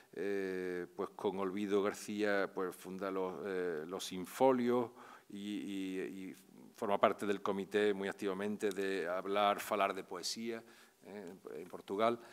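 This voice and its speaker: In a monotone, flat delivery, a man with a fairly low pitch speaks very slowly while his loudness swings a lot. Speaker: university lecturer introducing the poet. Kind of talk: formal introduction. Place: hall. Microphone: podium.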